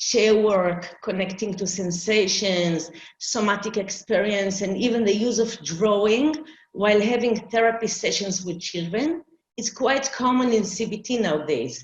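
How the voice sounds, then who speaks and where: Somewhat breathy, a woman of medium pitch speaks at a fairly slow pace with ordinary pitch variation. Audible room echo surrounds her voice. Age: 60s. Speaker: arts therapist. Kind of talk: conference presentation.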